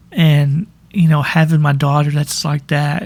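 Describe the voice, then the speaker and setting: A man's fairly high, somewhat breathy voice at a very slow pace. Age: 40s. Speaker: podcast host. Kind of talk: personal monologue. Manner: halting.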